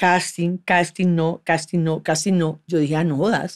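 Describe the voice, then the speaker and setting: A woman with a Colombian accent speaks at a fairly slow pace. The background is quiet. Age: 50s. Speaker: actress and former beauty queen; actress. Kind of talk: casual interview conversation. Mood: relaxed, candid. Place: studio. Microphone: studio mic.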